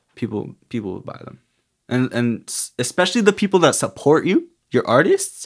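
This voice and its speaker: A man speaks at a fairly high pitch with vocal fry. His pitch swings very widely, and his pace is moderate. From Canada. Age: 20s. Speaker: artist and entrepreneur. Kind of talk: casual chat. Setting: studio.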